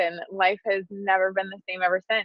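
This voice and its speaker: Speaking in an American accent, a woman of medium pitch talks at a moderate pace with monotone, flat intonation. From Wisconsin, US Midwest. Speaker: public relations firm founder. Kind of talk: podcast interview. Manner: casual, many fillers.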